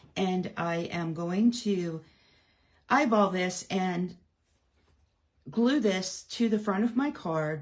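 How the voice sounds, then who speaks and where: A somewhat breathy voice at a very slow pace, with ordinary pitch variation over a quiet background. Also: woman. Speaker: card-making demonstrator. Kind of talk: live craft tutorial. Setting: livestream. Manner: chatty, many fillers.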